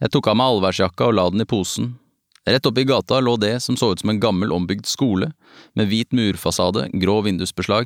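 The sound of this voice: An unforced reading voice with ordinary pitch variation sounds against a quiet background.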